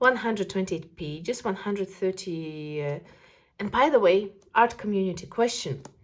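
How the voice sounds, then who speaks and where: Her pitch moves in a lively way. The woman keeps to a moderate speed. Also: medium pitch for a woman. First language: not English. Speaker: art youtuber. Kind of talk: casual video review of art supplies. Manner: animated.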